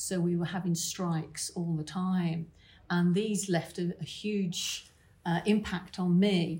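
A woman with a British accent, fairly low in pitch, somewhat breathy with a dark, mellow tone, flat monotone intonation and a very slow pace. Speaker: financial planner. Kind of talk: interview answer at a conference.

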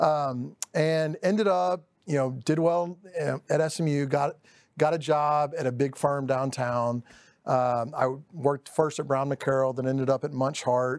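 In a very clean recording with a silent background, a man with a Texan accent speaks fairly slowly at a fairly high pitch with fairly even intonation. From East Dallas, Texas. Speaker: title company director. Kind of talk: casual interview.

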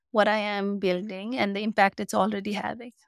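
In a Nepali accent, a woman talks at a medium pitch with monotone, flat intonation, the sound dry and close with no echo on a very clean recording with a silent background. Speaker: community founder. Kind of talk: interview answers. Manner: hesitant, filler-heavy.

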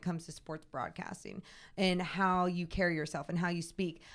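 A woman with a plain, everyday voice talks at a fairly quick pace and a medium pitch. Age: 30s. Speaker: sports broadcaster. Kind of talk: casual interview.

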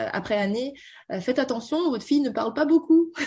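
Somewhat breathy, a woman speaks with lively intonation over a quiet background. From Beijing, China (French schooling). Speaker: tech community founder and banker. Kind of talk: radio interview. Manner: halting, many fillers.

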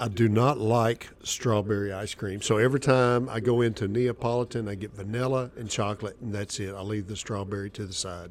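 The speech moves at a fairly quick pace with hardly any pauses. Intonation stays fairly even. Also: man, fairly low pitch for a man. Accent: Southern US. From Arkansas. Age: 50s. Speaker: cigar shop worker. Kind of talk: casual chat.

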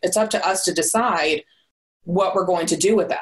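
Speaking at a moderate pace, a woman uses an ordinary speaking voice of medium pitch with ordinary pitch variation. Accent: American. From Southern California. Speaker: business consultant. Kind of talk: interview.

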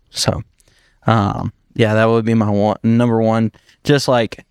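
Speaking at a medium pitch with a slight Southern US accent, a man sounds dry and close with no echo on a very clean recording with a silent background. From Upstate South Carolina (Dacusville). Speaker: podcast co-host. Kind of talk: casual chat.

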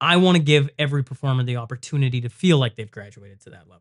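A somewhat breathy man speaks at a fairly quick pace with a fairly high pitch. His pitch variation is ordinary, and the background is quiet. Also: dry, close sound with no echo. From Saskatchewan, Western Canada. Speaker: podcaster, former hockey player. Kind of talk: casual chat. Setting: studio.

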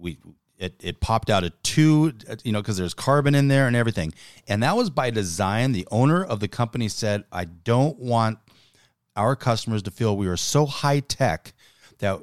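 A man with an unremarkable speaking voice talks at a moderate pace and medium pitch, his intonation lively. The sound is dry and close with no echo, on a very clean recording with a silent background. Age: 50s. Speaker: business podcast co-host and business owner. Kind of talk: casual chat.

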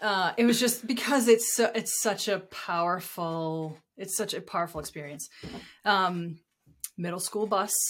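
A woman speaks in a normal speaking voice at a medium pitch, fairly slowly, with ordinary pitch variation. The recording is very clean with a silent background. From US Northeast (southern New Hampshire). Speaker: designer and professor. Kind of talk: casual chat. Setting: host's house.

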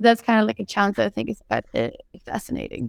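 A woman talks at a fairly quick pace. She speaks with a Scandinavian accent. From Denmark and Sweden. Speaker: alternative seafood startup CEO. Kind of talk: panel discussion. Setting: video call. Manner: laughs often.

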